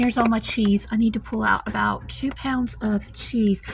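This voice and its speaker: Soft-spoken and fairly slow, a woman talks in a Southern US accent against noticeable background noise. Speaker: home cooking vlogger. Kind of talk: casual vlog tutorial. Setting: home kitchen. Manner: casual with many fillers.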